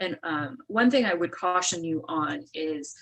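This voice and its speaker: A woman with an unremarkable speaking voice talks at a fairly slow pace and a fairly low pitch. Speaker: attorney. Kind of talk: webinar presentation.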